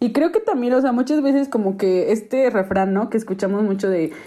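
Her fairly high-pitched voice carrying a dark, mellow tone, a woman talks at a fairly quick pace with ordinary pitch variation. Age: 20s. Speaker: sociologist, podcast co-host. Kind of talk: casual chat.

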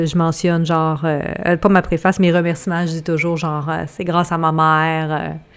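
Speaking at a moderate pace in a Quebec accent, a woman keeps a fairly low pitch and a monotone, flat intonation. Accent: Québécois French. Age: 30s. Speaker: cookbook author and podcast co-host. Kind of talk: casual chat.

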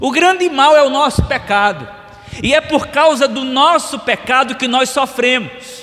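The speaker uses a raised, projected voice with a Brazilian accent and ordinary pitch variation. The pace is fairly slow, with noticeable background noise. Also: man. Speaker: pastor. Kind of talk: sermon. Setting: church. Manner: earnest, solemn preacher's delivery, hammering key phrases with repetition; formal, expository and didactic.

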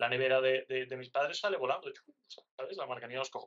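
A man speaks at a fairly quick pace with a medium pitch and ordinary pitch variation. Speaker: pastry chef. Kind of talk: interview. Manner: animated.

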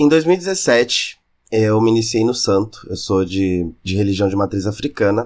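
A man with a plain, everyday voice speaks at a fairly slow pace with lively intonation. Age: 20s. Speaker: podcast host. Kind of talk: scripted monologue.

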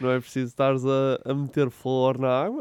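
This man speaks with a European Portuguese accent. His voice sits at medium pitch with a dark, mellow tone. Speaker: podcast co-host. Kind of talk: casual chat.

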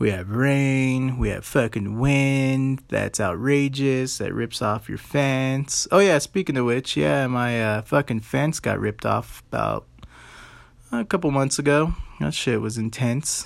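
With an American accent, a man at medium pitch speaks fairly slowly with ordinary pitch variation. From Colorado, US. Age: 30s. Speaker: podcast host. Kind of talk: casual monologue. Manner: animated.

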